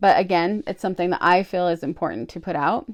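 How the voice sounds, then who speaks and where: At a very fast pace, a woman speaks in a fairly low pitch. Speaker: book vlogger. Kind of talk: casual monologue. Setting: filming on phone at home.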